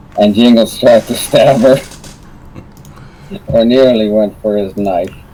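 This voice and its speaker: The man's voice sits at a medium pitch with ordinary variation. He speaks at a fairly slow pace over noticeable background noise. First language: not English. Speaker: tabletop RPG player. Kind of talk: casual chat.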